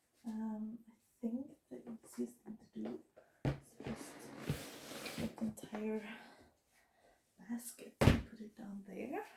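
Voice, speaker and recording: Mumbling at a very slow pace, a woman speaks with a fairly high pitch. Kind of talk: casual talk to camera. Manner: mumbling, slow-paced.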